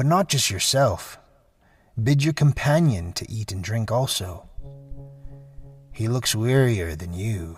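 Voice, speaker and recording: Gruff put-on character voice from a man, medium in pitch and fairly slow, with lively intonation, long, frequent pauses and faint music behind. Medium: read story. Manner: gruff, curt.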